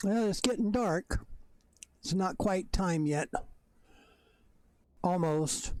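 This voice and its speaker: Squeaky and very slow, the voice keeps a very even loudness and ordinary pitch variation, broken by long, frequent pauses. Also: man. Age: old. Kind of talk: gameplay commentary. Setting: at home, bedroom. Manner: halting.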